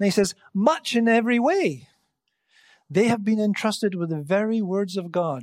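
Speech at a moderate pace, captured in a very clean recording against a silent background. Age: 60s. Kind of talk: sermon.

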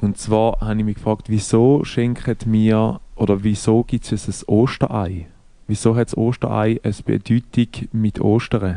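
Against a quiet background, a man with a Swiss accent speaks at a fairly slow pace, his fairly low pitch and dark, mellow tone carried by fairly even intonation. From Switzerland. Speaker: podcast co-host. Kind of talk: casual chat.

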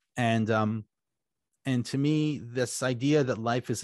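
Using an unremarkable speaking voice, a man talks at medium pitch and a fairly slow pace, the sound dry and close with no echo. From French-Canadian community in Ontario, Canada. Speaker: writer and podcaster. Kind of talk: podcast interview.

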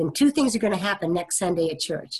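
An American-accented woman's voice, somewhat breathy and fairly low in pitch. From US Midwest, Topeka, Kansas. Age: 50s. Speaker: minister. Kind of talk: oral history interview.

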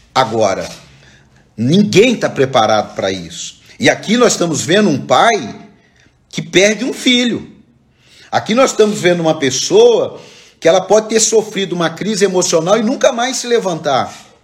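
High male voice with lively intonation, a moderate pace, long, frequent pauses and audible room echo. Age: 40s. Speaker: pastor. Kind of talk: sermon. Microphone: echo on the voice.

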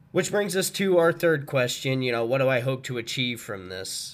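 This man speaks at a medium pitch and a moderate pace with a Midwestern American accent. His intonation is lively. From small-town Missouri. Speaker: podcast host. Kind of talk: casual monologue. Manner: animated.

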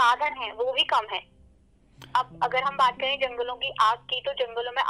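A woman with a high pitch uses a raised, projected voice at a moderate pace. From Uttarakhand, India. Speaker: law student and radio presenter. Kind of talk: interview on environmental issue. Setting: phone call.

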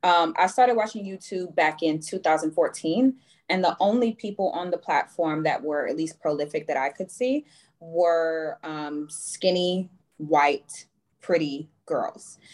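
Speaking at a fairly slow pace, a woman has an unremarkable speaking voice with ordinary pitch variation. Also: fairly low pitch for a woman. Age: 20s. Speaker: dating content creator. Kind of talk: casual chat. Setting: video call.

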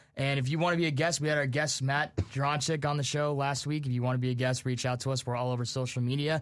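Against a quiet background, a man with a fairly high pitch talks at a very fast pace in very even loudness. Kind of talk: live college radio sports talk show, upbeat host patter with sign-on and sign-off. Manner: fast, chatty and animated, bantering, self-deprecating about his team.

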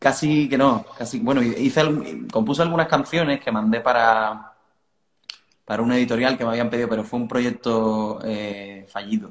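A man talks at a moderate pace in an ordinary speaking voice. His pitch sits at a medium level. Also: ordinary pitch variation. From Cádiz, Andalusia, Spain. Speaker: rock band vocalist. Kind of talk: casual interview. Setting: video call from living room.

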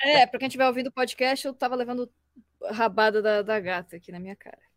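A woman with a high pitch talks at a very fast pace, yet with long, frequent pauses. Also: dry, close sound with no echo. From Brazil, Florianópolis. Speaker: voice actress and illustrator. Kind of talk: casual chat. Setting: live stream from home. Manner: fast, talkative.

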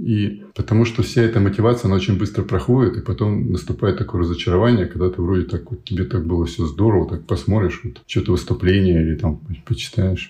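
Speaking very fast, a man with a very deep, low voice uses ordinary pitch variation. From USSR, military garrisons. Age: 50s. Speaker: project founder, life coach. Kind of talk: interview conversation.

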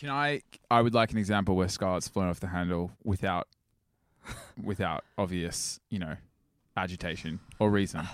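In a very clean recording with a silent background and a dry, close sound free of echo, a man with a very deep, low pitch speaks at a moderate pace with ordinary pitch variation and long, frequent pauses. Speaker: guest friend chiming in. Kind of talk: casual chat.

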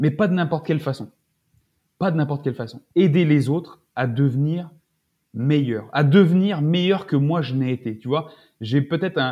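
The voice has a dark, mellow tone and sounds somewhat breathy, with ordinary pitch variation. It moves at a moderate pace, broken by long, frequent pauses. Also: man, fairly high pitch for a man. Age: 40s. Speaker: naturopath and Brazilian jiu-jitsu athlete. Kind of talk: casual interview chat. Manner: halting, many fillers and repetitions.

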